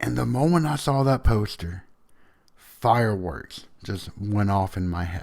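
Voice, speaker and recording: Delivered at a fairly slow pace with very wide pitch swings, the voice carries a strong Southern US accent. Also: man, fairly low pitch for a man. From US South. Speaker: podcast host. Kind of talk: casual storytelling monologue.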